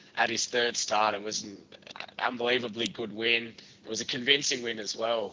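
A man at a medium pitch and a moderate pace. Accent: Australian. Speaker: interviewer. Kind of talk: casual interview.

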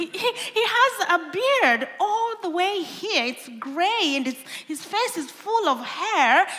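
Over noticeable background noise, a woman with a Kenyan accent speaks in a raised, projected voice at an extremely high pitch with very wide pitch swings. Her pace is very slow, with hardly any pauses. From Kenya (western, Lake Victoria shore). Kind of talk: sermon-style talk. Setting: stage with audience.

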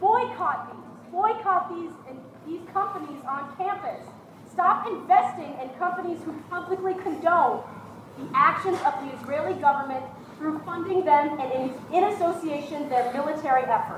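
Over noticeable background noise, a woman talks at a moderate pace with an extremely high pitch. Her pitch varies in an ordinary way while her loudness swings widely. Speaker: rally speaker. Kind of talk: rally speech. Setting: outdoors at a rally. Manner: loud, urgent, rhetorical questions.

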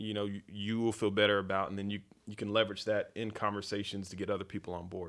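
A man at fairly low pitch, very fast, in a monotone, flat intonation. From US South, Fayetteville, North Carolina. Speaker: tech consultant and think tank founder. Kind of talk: casual interview. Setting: studio.

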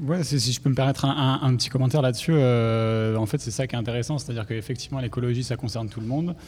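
A very fast, somewhat breathy voice talks with hardly any pauses and fairly even intonation. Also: man, medium pitch for a man. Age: 20s. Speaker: environmental professional, debate participant. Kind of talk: panel debate.

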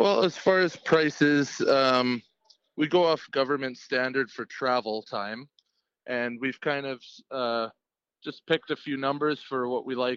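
Fairly even intonation and a fairly slow pace in an unremarkable speaking voice. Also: man. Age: 30s. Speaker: lead singer of a cover band and steel worker. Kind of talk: casual interview.

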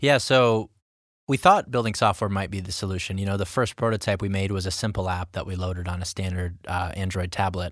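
Over a silent background in a very clean recording, a man with an unremarkable speaking voice talks fairly quickly at a fairly low pitch with fairly even intonation. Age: 20s. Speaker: tech company co-founder. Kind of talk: interview.

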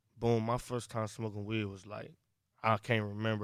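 A man speaks in a fairly low, flat monotone on a very clean recording with a silent background. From Cleveland, Ohio. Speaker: rapper. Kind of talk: casual chat. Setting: studio.

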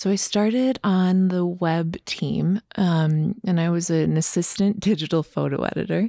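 In an American accent, a woman speaks at a fairly slow pace with hardly any pauses, her fairly low voice dark and mellow in tone. The sound is dry and close with no echo. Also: ordinary pitch variation. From Minnesota. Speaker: photographer. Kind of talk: casual interview chat. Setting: in person, studio.

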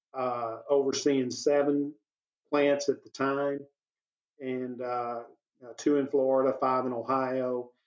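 With a Texan accent, a man at a medium pitch speaks at a very slow pace in a monotone, flat intonation, with long, frequent pauses. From East Texas. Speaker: business owner. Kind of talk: interview.

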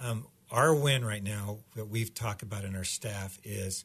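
A man with a fairly low pitch sounds somewhat breathy against a quiet background. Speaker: pastor. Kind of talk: casual interview chat. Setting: studio.

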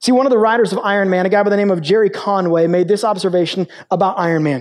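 A man is talking. His voice sits high. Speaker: pastor. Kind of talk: sermon. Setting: stage with audience. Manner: fast.

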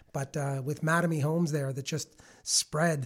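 A somewhat breathy man at a fairly high pitch, monotone and flat in intonation, at a moderate pace, on a very clean recording with a silent background. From Toronto area, Canada (Milton). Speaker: finance entrepreneur. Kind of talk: interview.

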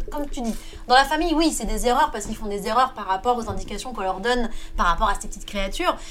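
A woman speaks at a fairly high pitch with lively intonation. Noticeable background noise is present. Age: 30s. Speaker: podcast panelist. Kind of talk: casual chat.

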